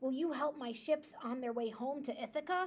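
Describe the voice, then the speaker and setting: High-pitched put-on character voice from a woman, delivered at a moderate tempo. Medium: read story.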